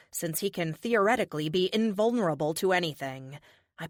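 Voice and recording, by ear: Natural-voiced reading aloud amid quiet surroundings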